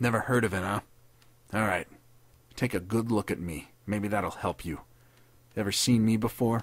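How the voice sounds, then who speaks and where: Using a put-on character voice, a man with a fairly low pitch speaks at a moderate pace with long, frequent pauses. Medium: read story. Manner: sneering, savage, bitter.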